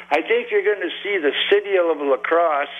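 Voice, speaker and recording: The speech comes at a fairly slow pace. Background noise is noticeable. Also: man. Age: 70s. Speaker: regular caller. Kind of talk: call-in talk radio. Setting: phone call.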